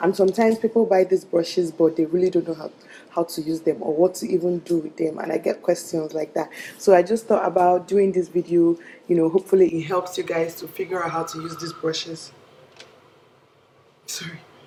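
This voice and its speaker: A woman with a fairly low pitch talks at a fairly quick pace with fairly even intonation and big swings in loudness. Noticeable background noise is present. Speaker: beauty YouTuber. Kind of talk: makeup tutorial. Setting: indoors away from home.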